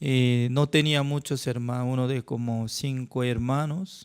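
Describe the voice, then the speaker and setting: A fairly high-pitched man with a Korean accent, at a very slow pace, on a very clean recording with a silent background. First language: Korean (speaking Spanish). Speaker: pastor. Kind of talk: sermon.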